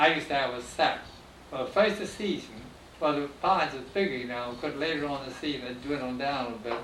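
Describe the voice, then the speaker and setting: A man with a fairly high voice talks at a very fast pace with ordinary pitch variation over noticeable background noise. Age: 80s+. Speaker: former pineapple carrier and boat owner. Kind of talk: oral history interview answer.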